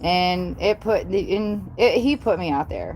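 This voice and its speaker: Speaking in a Southern US accent, a woman keeps to a medium pitch. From US South. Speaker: paranormal YouTuber. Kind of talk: live stream chat. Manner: loud; animated.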